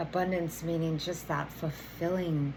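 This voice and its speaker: A woman speaks fairly slowly in a fairly low, somewhat breathy voice with fairly even intonation. Audible room echo surrounds her. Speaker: energy healer and oracle card reader. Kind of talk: tarot oracle reading. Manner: casual, filler-heavy.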